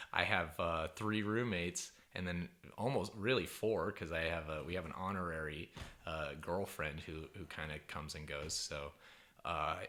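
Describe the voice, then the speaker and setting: A man speaks with a very deep, low voice and a bright, sharp tone. His pace is moderate. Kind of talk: interview host talk.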